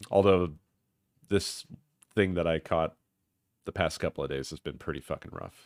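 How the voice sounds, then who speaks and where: A man speaks with vocal fry at a very deep, low pitch, leaving long and frequent pauses, his loudness swinging widely over fairly even intonation, on a very clean recording with a silent background and a dry, close sound with no echo. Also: moderate pace. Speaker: gaming livestreamer. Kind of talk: casual livestream chat.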